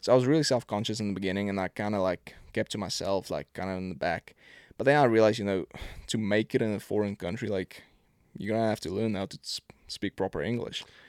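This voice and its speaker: In a very clean recording with a silent background and a dry, close sound with no echo, a man with a South African accent talks at a very fast pace with ordinary pitch variation. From South Africa, Pretoria. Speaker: professional football kicker. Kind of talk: casual chat.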